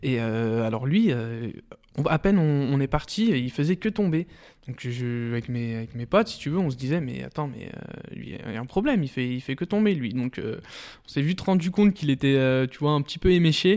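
Here a man talks in a fairly high pitch at a moderate pace with lively intonation. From France, Lyon area. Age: 20s. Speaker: vocational student. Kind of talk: interview testimony. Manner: hesitant, many fillers.

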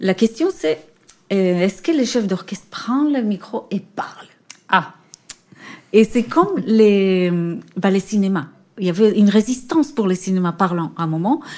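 A woman at a medium pitch and moderate pace, with lively intonation and a dark, mellow tone. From Israel. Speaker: orchestra conductor. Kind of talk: interview. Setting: theatre.

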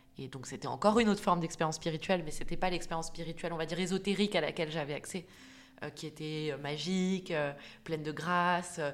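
Fairly low in pitch, this woman talks at a fairly quick pace. Her intonation is fairly even. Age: 30s. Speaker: clinical psychologist and coach. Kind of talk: personal testimony. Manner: halting.

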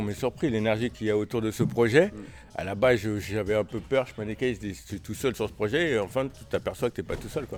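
At a fairly quick pace, a man uses an ordinary speaking voice, fairly low in pitch with ordinary pitch variation. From Paris. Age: 50s. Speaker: boxing coach. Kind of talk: casual chat. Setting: gym.

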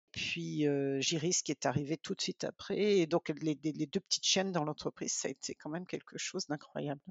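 A woman with a very deep, low voice talks at a fairly quick pace with hardly any pauses and fairly even intonation. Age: 50s. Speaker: volunteer breeder family for guide dogs. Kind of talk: interview. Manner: hesitant, repeats words.

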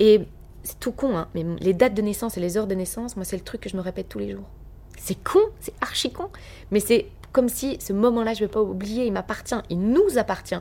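With an energetic tone, a woman talks at a fairly quick pace, her loudness swinging widely. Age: 30s. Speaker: radio and TV presenter. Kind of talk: casual interview.

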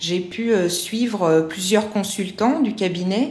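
A woman's medium-pitched voice with ordinary pitch variation, audible room echo and noticeable background noise. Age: 40s. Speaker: educational support worker retraining as job counsellor. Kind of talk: testimony. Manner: hesitant, many fillers.

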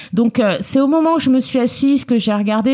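A moderately paced woman's voice amid noticeable background noise. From France, Lyon (family roots in Guinea). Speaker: member of parliament. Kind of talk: interview. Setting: office at the parliament.

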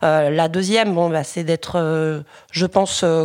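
Her intonation stays fairly even. The speaker is a woman. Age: 30s. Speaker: local election candidate and activist. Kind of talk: interview. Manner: hesitant with fillers and repetitions.

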